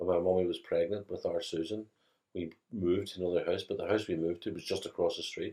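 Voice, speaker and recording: Talking at a fairly quick pace, a man speaks in a Belfast accent. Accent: Belfast Northern Irish. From Northern Ireland, West Belfast. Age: 60s. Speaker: interviewee recalling childhood. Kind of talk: interview.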